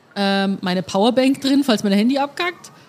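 A somewhat breathy woman at a moderate pace, fairly high in pitch, with ordinary pitch variation. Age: 20s. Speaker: podcast host. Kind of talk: casual chat. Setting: beer tent at the Oktoberfest.

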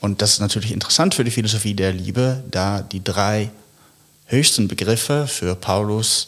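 Speaking at a fairly slow pace, a man with a Dutch accent has a fairly low pitch. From Netherlands. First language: Dutch (speaking German). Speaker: philosopher. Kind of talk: intellectual conversation.

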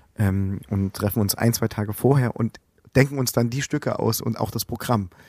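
Here is a man with an unremarkable speaking voice, medium in pitch, fairly even in intonation and moderate in pace. The sound is dry and close with no echo, on a very clean recording with a silent background. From Saxony, eastern Germany (Plauen, Vogtland). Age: 30s. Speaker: musician. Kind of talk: interview.

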